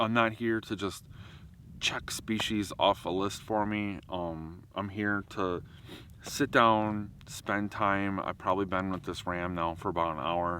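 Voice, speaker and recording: Loud and very deep in pitch, a man speaks at a fairly slow pace in a bright, sharp tone with fairly even intonation. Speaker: wildlife photographer and vlogger. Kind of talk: outdoor vlog monologue. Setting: outdoors in a national park.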